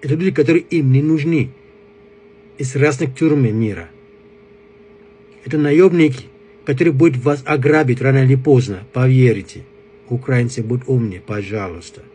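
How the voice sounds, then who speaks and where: A man with a strong African accent speaks at a moderate pace, broken by long, frequent pauses. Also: medium pitch for a man, ordinary pitch variation. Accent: strong African accent in Russian. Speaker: commentator addressing a foreign audience. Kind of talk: political appeal to camera. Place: home room. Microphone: phone near.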